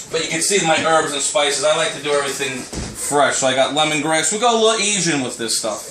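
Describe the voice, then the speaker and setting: Lively intonation from a man with a fairly high pitch and an American accent, amid noticeable background noise and audible room echo. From Long Island, New York. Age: 30s. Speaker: amateur cook, cooking show contestant. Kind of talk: casual home tour video. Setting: at home, kitchen. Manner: casual, animated.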